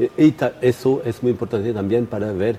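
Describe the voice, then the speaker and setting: A man with a non-native accent and ordinary pitch variation, amid noticeable background noise. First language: not Spanish (speaking Spanish). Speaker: astrophysicist. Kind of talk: interview. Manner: halting, many fillers.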